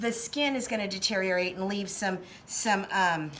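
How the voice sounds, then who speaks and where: Noticeable background noise and audible room echo fill the recording. A woman speaks at a moderate pace with ordinary pitch variation. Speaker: special effects makeup artist and costumer. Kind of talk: tutorial. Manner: casual, many filler words.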